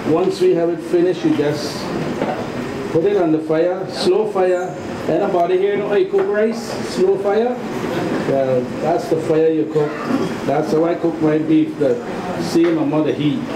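Amid noticeable background noise, speech unfolds at a moderate pace with ordinary pitch variation and long, frequent pauses. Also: man. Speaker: local cook giving demonstration. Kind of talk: cooking demonstration. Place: kitchen.

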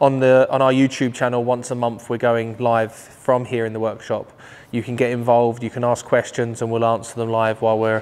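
In a monotone, flat intonation, the words come at a fairly quick pace. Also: man. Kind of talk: casual walk-around tour. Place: garage. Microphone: lapel.

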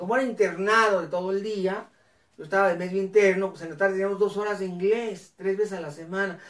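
A man speaks in a high voice with an animated tone. The background is quiet. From northern Mexico, Ciudad Cuauhtémoc, Chihuahua; Chihuahua. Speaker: educator and live show host; educator, live show host. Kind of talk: live educational talk show. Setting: live online broadcast on camera. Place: home room.

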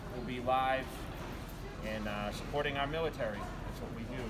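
Fairly quick speech from a man, with loud noise in the background. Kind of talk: casual vlog chat. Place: shop. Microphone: phone near.

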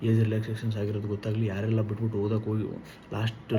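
Against noticeable background noise and audible room echo, a man speaks in a fairly low, monotone, flat voice. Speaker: job information YouTuber. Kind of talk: informational video monologue.

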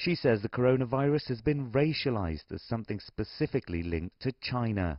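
In a normal speaking voice, a man talks at a fairly quick pace and medium pitch, with lively intonation and hardly any pauses. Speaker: news reporter. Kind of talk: news report.

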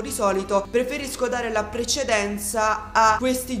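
A woman speaks at a high pitch, with faint music in the background and audible room echo. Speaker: gaming youtuber. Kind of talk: casual vlog chat. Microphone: headset.

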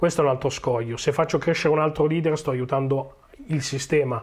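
A man talks fairly quickly, his voice somewhat breathy and his intonation fairly even. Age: 40s. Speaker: agile coach. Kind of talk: conference talk. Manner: hesitant, many fillers.

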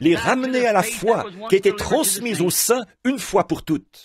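A man speaks at a high pitch with lively intonation. His pace is fairly slow. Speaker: preacher. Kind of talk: sermon.

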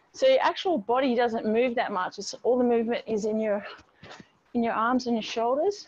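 A woman with a high-pitched voice talks at a moderate speed. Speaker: fitness instructor. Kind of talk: workout class instruction. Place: garden.

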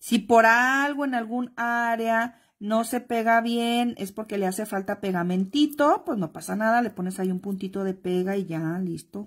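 On a very clean recording with a silent background, a woman with a somewhat breathy, fairly high voice and ordinary pitch variation speaks with hardly any pauses. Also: fairly slow pace. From Mexico, Guadalajara. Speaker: crafts instructor. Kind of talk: live-stream craft tutorial. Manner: chatty, affectionate.

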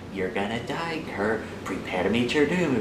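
A man puts on a character voice at medium pitch. Loud background noise plays behind him. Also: moderate pace. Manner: menacing.

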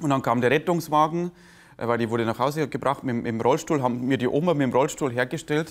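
A man rattles through his words at a very fast pace, with a quiet background. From Lower Bavaria, Germany; Bavaria, Germany. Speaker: comedian; interviewee, stage comedian. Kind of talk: interview. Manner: halting. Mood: warm, reflective storytelling. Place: cafe. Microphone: lapel.

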